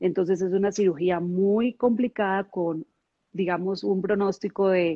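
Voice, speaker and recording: A woman's plain, everyday voice at a moderate pace, with fairly even intonation. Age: 40s. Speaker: network marketing leader. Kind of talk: interview.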